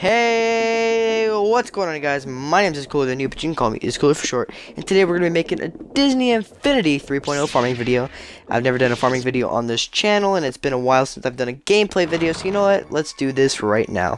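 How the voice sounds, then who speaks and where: A man speaks at a very fast pace and a fairly high pitch. His pitch swings very wide. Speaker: gaming youtuber. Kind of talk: gameplay commentary.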